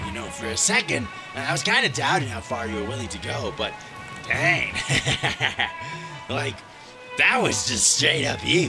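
A man's put-on character voice at medium pitch and moderate pace, with clear music in the background. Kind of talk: comic modern slang from a menacing villain. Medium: machinima. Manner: casual, sarcastic, gloating.

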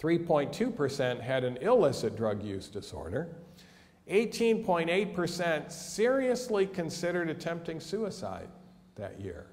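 A man talks at a very slow pace in a high pitch. His pitch swings very widely. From USA. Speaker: physician and mental health educator. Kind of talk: lecture. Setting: church hall with audience. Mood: earnest, concerned. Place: hall.

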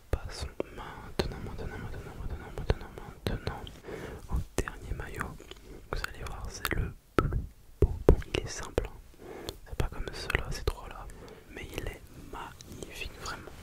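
Soft-spoken and whispering, a man talks at a fairly slow pace with long, frequent pauses. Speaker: ASMR creator. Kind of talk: soft whispered ASMR chat. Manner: soft close-mic ASMR whisper. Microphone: studio mic.

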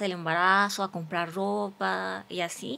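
The woman's tone comes across as bright and sharp. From Morelos, Mexico. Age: 30s. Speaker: physician and social media creator; podcast guest. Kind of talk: testimony. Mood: earnest, reflective storytelling. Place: studio. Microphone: studio mic.

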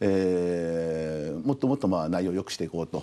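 The speaker is a man. He talks at a moderate pace. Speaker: restaurant company CEO; guest. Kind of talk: TV interview. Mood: friendly, smiling. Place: studio. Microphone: lapel.

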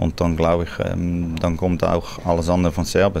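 Over noticeable background noise, a man with a Swiss German accent speaks at a moderate pace in a very deep, low voice. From Netherlands. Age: 40s. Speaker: football coach. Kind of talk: interview answer.

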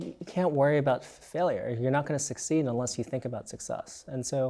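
Fairly quick delivery from a man with a dark, mellow tone and ordinary pitch variation. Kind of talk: interview answer. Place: studio. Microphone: lapel.

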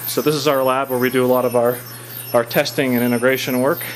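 Light background noise accompanies speech delivered at a fairly quick pace. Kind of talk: tour commentary. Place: workshop. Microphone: phone near.

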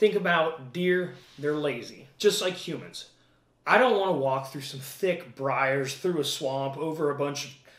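A man speaks at a fairly slow pace, with audible room echo around his voice. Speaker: hunting channel host. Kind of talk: tutorial. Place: home room. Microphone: camera far.

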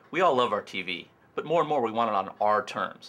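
A man speaks in an enthusiastic, bright, sharp tone. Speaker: company CEO. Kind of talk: infomercial presentation. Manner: casual, enthusiastic. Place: office.

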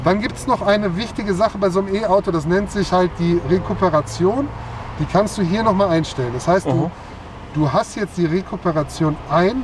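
The speech moves at a fairly quick pace in a dry sound with no echo and light background noise. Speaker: car salesman or expert. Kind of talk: explanatory product demonstration. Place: car.

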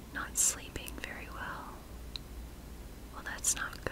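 Loud background noise around a woman's voice. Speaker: hypnosis guide. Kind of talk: ASMR guided relaxation hypnosis. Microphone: studio mic.

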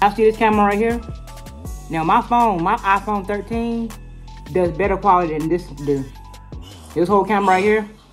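A woman at a fairly quick pace, faint music in the background. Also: ordinary pitch variation. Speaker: vlogger. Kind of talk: casual vlog chat. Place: kitchen. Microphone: phone near.

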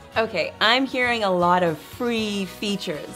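Upbeat tone and lively intonation from a woman, with faint music in the background. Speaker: infomercial host. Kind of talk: infomercial host talk. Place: studio.

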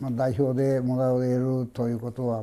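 A man is speaking. His tone is dark and mellow. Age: 70s. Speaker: sumo federation official, award recipient. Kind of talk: interview. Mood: modest, pleased. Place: office.

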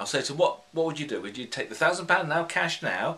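A man with a British accent at a fairly quick pace. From UK. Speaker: hypnotherapist; hypnotherapist trainer. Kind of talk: tutorial. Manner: unscripted, conversational. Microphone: phone near.

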